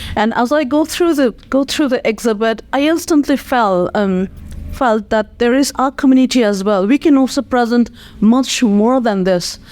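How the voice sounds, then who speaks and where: A woman speaks in a high voice. Her loudness stays very even. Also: ordinary pitch variation, moderate pace. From Nepal, Kathmandu. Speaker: nonprofit community leader. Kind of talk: interview. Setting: podcast studio. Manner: hesitant, many fillers.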